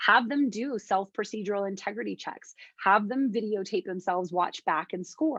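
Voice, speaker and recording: Her voice is an unremarkable speaking voice, and this woman talks at a moderate pace with a fairly high pitch and lively intonation. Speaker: conference presenter. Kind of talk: academic, professional. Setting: presentation, lecture.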